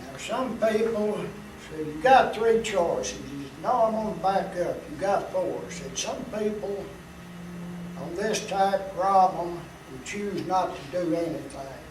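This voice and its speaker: A man with a Tennessee accent talks at a fairly slow pace in a high pitch, with ordinary pitch variation and big swings in loudness. The recording has audible room echo and noticeable background noise. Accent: Southern US (Tennessee). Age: 70s. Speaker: cancer survivor. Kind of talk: interview testimony.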